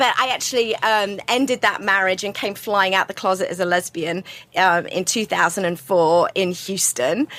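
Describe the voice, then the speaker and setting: Through noticeable background noise, a woman with an American accent speaks at a medium pitch with ordinary pitch variation. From UK. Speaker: LGBTQ advocate and filmmaker. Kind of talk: podcast interview. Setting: podcast recording.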